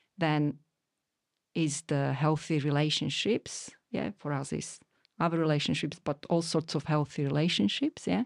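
Against a quiet background, a woman with a very deep, low pitch and vocal fry speaks at a moderate pace with ordinary pitch variation in a dry, close sound with no echo. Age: 40s. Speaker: mother and parenting voice. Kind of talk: casual chat.

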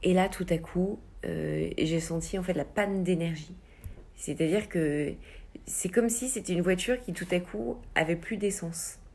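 At a fairly slow pace, a woman with a fairly low pitch and some vocal fry speaks with ordinary pitch variation. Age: 30s. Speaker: amateur runner. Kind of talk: interview. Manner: hesitant, many fillers.

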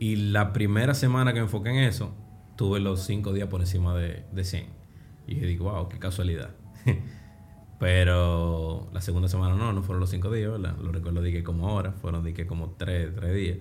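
Speech moves at a moderate pace with fairly even intonation, heard over noticeable background noise and audible room echo. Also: man, very deep, low pitch for a man. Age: 30s. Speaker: trader. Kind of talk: interview.

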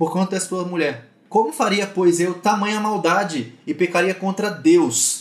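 With noticeable background noise behind him, a man speaks fairly slowly at a high pitch with lively intonation. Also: hardly any pauses. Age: 30s. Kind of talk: online mentoring talk. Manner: casual.

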